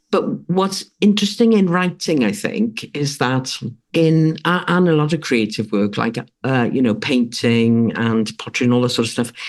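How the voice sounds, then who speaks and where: A woman in a Welsh accent speaks at a moderate pace. Her very deep, low pitch makes very wide swings. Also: very even loudness. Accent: British (Welsh). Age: 60s. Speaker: author and writing coach. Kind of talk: interview conversation. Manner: halting, many fillers and restarts.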